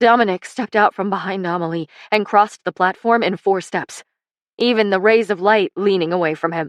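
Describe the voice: A quiet background behind plain reading aloud, with ordinary pitch variation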